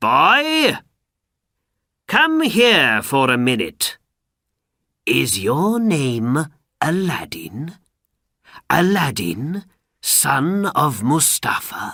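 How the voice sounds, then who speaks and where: Doing a put-on character voice at a fairly high pitch, a man speaks at a very slow pace with very even loudness and long, frequent pauses. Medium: read story. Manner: quiet, falsely warm.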